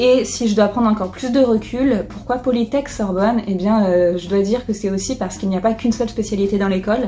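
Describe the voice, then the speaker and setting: Talking at a very fast pace, a woman with a fairly high pitch keeps her intonation fairly even. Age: 20s. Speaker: engineer and entrepreneur. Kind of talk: testimonial interview. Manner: hesitant, many fillers.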